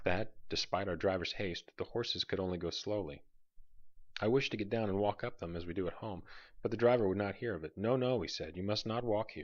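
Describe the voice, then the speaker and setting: A man with an ordinary speaking voice talks at a fairly quick pace and fairly low pitch, with ordinary pitch variation against a quiet background. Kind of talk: bedtime story. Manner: soft-spoken.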